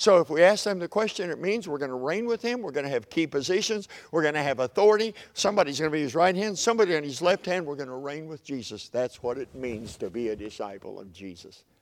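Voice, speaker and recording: Speaking very fast with hardly any pauses, a man with an Oklahoma accent uses a fairly high pitch and very wide pitch swings in a very clean recording with a silent background. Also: big swings in loudness. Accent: Oklahoma Southern US. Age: 70s. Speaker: preacher. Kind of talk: sermon.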